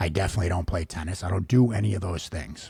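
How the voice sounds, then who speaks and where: A man talks at a fairly quick pace in a Boston accent, his pitch very deep and low. His voice is somewhat breathy, with ordinary pitch variation. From Massachusetts, Boston area (Reading). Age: 40s. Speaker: podcast host. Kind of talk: personal monologue, casual. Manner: casual, profane, many fillers.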